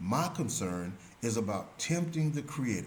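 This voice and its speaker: Somewhat breathy speech comes at a moderate pace with audible room echo. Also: man. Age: 70s. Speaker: religious commentator. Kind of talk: religious teaching monologue.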